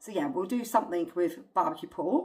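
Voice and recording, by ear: A woman speaks at a fairly quick pace, her pitch fairly low and her tone slightly mellow.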